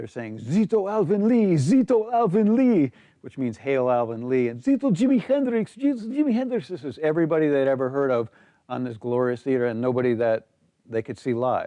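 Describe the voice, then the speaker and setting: Pitch leaps across a very wide range as the words come out fairly quickly. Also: man, fairly high pitch for a man. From American expatriate raised in Greece. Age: 60s. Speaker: musician. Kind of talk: personal anecdote interview. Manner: casual with frequent fillers.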